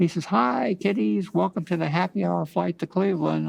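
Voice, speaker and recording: An American-accented man talks at a moderate pace with very wide pitch swings. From Ohio, USA. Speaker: Vietnam war veteran. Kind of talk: oral history interview answer.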